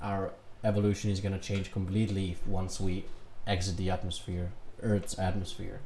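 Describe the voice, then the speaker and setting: Fairly low-pitched and somewhat breathy, a man speaks fairly slowly in a dark, mellow tone with flat, monotone intonation. Room echo is audible. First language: Serbian. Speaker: reaction youtuber. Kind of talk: reaction commentary.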